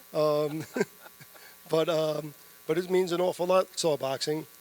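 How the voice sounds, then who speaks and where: A man with a New York accent, fairly high-pitched, in a flat monotone. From New York City, the Bronx. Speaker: boxing promoter. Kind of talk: press conference remarks.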